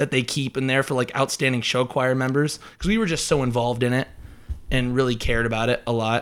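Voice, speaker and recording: This man has a Midwestern American accent and a medium pitch, speaking at a fairly quick pace with fairly even intonation. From rural northwest Iowa. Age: 20s. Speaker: student. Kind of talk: casual debate.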